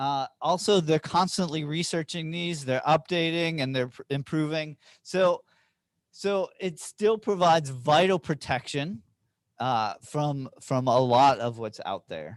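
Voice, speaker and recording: Recorded dry and close with no echo over a quiet background, a man speaks at a fairly high pitch and a fairly slow pace, with ordinary pitch variation. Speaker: health trainer. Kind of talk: training presentation with Q&A. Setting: training room with online participants. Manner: halting, many repetitions.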